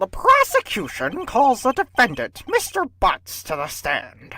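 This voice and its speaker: The voice is a put-on character voice. Its pace is fairly slow. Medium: fan dub. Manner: formal, smug.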